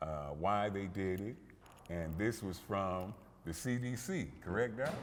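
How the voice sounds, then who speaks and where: Speaking fairly slowly at a fairly low pitch, a man shows ordinary pitch variation amid audible room echo. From Compton, California. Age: 60s. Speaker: gym owner and fitness personality. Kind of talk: interview introduction. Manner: animated.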